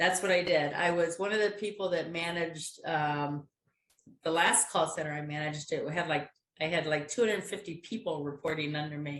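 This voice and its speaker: Using an ordinary speaking voice, a woman talks at a fairly quick pace with fairly low pitch and fairly even intonation. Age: 60s. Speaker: innovation program volunteer. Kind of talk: casual chat.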